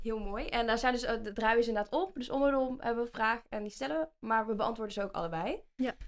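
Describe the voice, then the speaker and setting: With a slight Brabant accent, a woman talks at a very fast pace and a fairly high pitch, her intonation lively and hardly any pauses between words. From Netherlands, North Brabant (Vinkel near Den Bosch). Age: 20s. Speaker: podcast co-host, social media agency owner. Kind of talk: casual chat.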